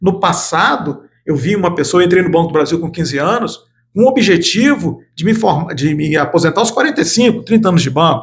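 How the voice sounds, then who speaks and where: Lively intonation marks a man's fairly quick delivery. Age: 60s. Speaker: lawyer, studio guest analyst. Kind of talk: interview, informal talk-show conversation.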